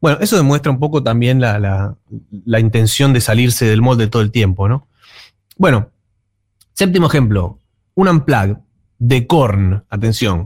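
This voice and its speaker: Using a medium pitch and lively intonation, a man talks at a fairly slow pace with long, frequent pauses, a somewhat breathy voice and very even loudness, in a dry, close sound with no echo. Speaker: music columnist. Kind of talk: radio music segment.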